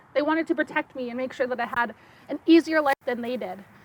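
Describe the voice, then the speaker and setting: A woman's high-pitched voice with a slight French accent and ordinary pitch variation, dry and close with no echo, over noticeable background noise. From Saskatchewan, Sturgeon Lake First Nation reserve. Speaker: archaeologist and science educator. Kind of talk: talk to an audience.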